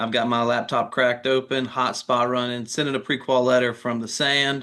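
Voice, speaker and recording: With a Southern US accent, a man speaks at medium pitch and a moderate pace in a bright, sharp tone with monotone, flat intonation. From North Carolina (Durham). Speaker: mortgage lender. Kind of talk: interview.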